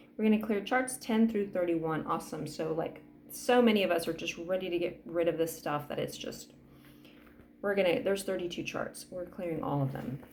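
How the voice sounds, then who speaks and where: A woman's fairly low voice at a fairly quick pace, with audible room echo. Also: lively intonation. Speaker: energy healing practitioner. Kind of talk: guided energy clearing session. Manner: fast.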